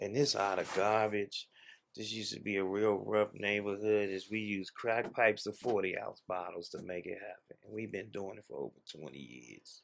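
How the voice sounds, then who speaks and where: Over light background noise, the speaker moves at a moderate pace with ordinary pitch variation and big swings in loudness. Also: man, fairly low pitch for a man. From Washington DC. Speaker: social entrepreneur and reparations commission member; guest. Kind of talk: interview. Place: home room.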